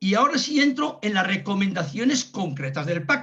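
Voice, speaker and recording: A man is speaking. His pace is fairly slow. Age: 70s. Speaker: pensioner activist speaker. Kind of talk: talk on pension policy in a videoconference. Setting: video call. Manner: halting, many restarts.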